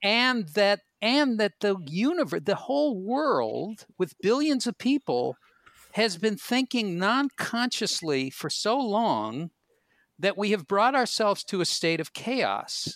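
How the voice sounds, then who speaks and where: A man talks at a very slow pace and a high pitch, with very wide pitch swings. The sound is dry and close, with no echo. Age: 60s. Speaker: comedian and podcast host. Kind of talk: casual chat.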